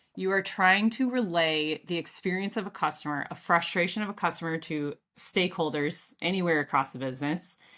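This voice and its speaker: This woman has a Midwestern American accent and a bright, sharp tone. Her intonation is lively. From US Midwest. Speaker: customer experience expert. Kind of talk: casual interview. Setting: home office, video call.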